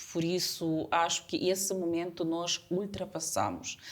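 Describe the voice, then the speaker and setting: A woman's fairly low pitch at a fairly slow pace, with a Ukrainian accent. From Ukraine. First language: Ukrainian (speaking Portuguese). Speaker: community association representative. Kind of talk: interview. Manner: halting.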